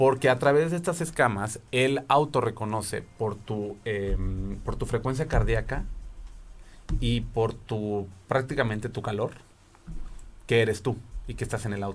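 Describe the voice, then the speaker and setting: A man with a Mexican accent speaks with ordinary pitch variation and long, frequent pauses. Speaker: tech podcast host. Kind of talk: casual chat.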